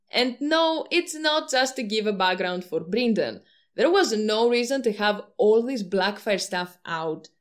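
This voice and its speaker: A woman speaks with a non-native accent at a fairly slow pace, her fairly high pitch swinging very widely. The recording is very clean, with a silent background. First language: not English. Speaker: YouTube book-theory commentator. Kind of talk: video essay monologue. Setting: home recording with poor audio.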